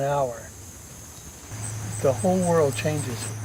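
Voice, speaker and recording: Over noticeable background noise, a man with an American accent speaks at a moderate pace, his fairly high pitch swinging very widely. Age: 70s. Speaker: retired professor. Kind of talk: interview.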